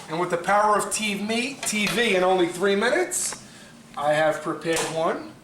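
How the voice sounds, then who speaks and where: An animated man with a high pitch and a Brooklyn accent speaks at a moderate pace with ordinary pitch variation. Audible room echo and noticeable background noise surround him. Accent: Brooklyn New York. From New York City (Brooklyn). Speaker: pasta maker, cooking show contestant. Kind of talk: cooking demonstration audition.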